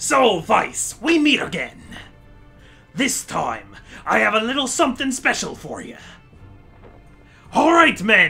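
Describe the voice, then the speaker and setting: A put-on character voice, high-pitched and fairly slow, with long, frequent pauses over faint background music. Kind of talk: stereotypical pirate speech. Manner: gruff, theatrical.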